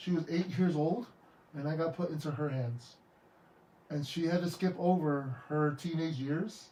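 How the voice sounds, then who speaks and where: The man has a fairly high pitch with ordinary variation. His tone is dark and mellow, and he keeps a moderate pace. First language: Tongan. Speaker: podcast host and licensed therapist. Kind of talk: podcast interview. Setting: studio. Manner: emotional, heartfelt; stammering, repeats words.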